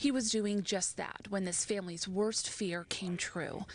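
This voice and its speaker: With a normal speaking voice, a woman talks fairly slowly at medium pitch and with fairly even intonation. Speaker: television news reporter. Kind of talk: TV news field reporting, live and packaged.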